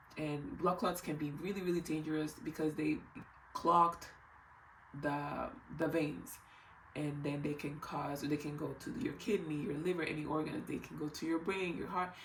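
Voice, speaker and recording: Amid audible room echo, a woman with a very deep, low pitch speaks at a moderate pace with fairly even intonation. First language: not English. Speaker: health vlogger. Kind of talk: casual explainer vlog.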